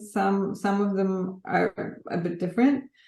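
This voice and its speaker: A woman speaks with a Polish accent. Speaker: graphic artist. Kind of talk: interview. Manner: hesitant, with many fillers.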